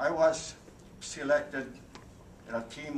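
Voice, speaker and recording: Against noticeable background noise, a man with a Hawaiian accent speaks at a very slow pace. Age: 80s+. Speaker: World War II veteran, military interpreter. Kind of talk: speech to an audience. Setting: convention hall.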